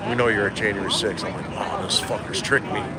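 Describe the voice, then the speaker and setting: A man with an American accent at a fairly quick pace, with noticeable background noise and audible room echo. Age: 60s. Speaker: podcaster and political activist. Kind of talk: casual interview chat.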